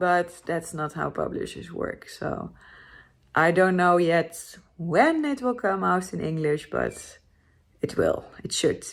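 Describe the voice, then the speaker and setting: A woman with a Dutch accent speaks at a very slow pace. The recording is very clean, with a silent background. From Netherlands. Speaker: motorcycle travel vlogger. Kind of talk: casual vlog to camera.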